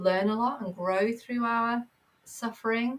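In a Manchester accent, a woman speaks in a somewhat breathy voice. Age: 30s. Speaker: therapist and mindfulness teacher. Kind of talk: casual interview chat. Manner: hesitant, many fillers.

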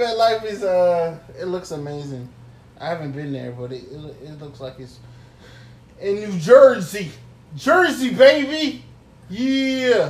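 With an American accent and a high pitch, a man speaks very slowly with long, frequent pauses, very wide pitch swings and big swings in loudness, in a room with audible echo. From New York. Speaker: podcast co-host. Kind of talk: casual chat.

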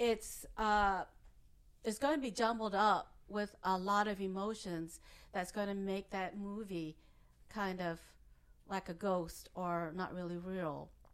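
With a Vietnamese accent, a woman speaks at a very slow pace in a medium pitch, with fairly even intonation and long, frequent pauses. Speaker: hypnotist. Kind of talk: interview conversation.

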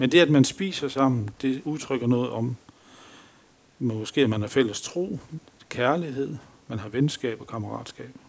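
A man speaks at a medium pitch and a fairly slow pace, with ordinary pitch variation. His loudness swings widely, and he leaves long, frequent pauses. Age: 50s. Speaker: lay preacher. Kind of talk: sermon. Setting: church.

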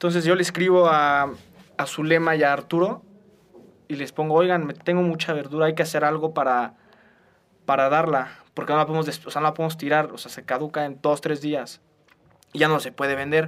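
Long, frequent pauses break up a man's fairly high-pitched, monotone delivery with flat intonation. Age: 20s. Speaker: law student, youth charity co-president. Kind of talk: casual chat.

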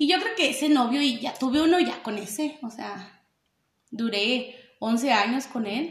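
The pace is fairly slow. Pitch moves in an ordinary way. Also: woman, high pitch for a woman. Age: 20s. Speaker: podcast co-host. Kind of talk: casual chat.

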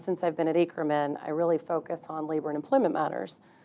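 A woman with an American accent has an unremarkable speaking voice, fairly low in pitch with fairly even intonation. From Texas. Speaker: employment lawyer. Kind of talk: interview conversation.

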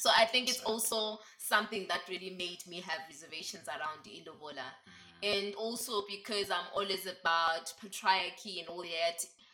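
A woman at a medium pitch varies her pitch in an ordinary way, with noticeable background noise in the clip. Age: 20s. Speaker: feminism discussion guest. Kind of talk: casual chat.

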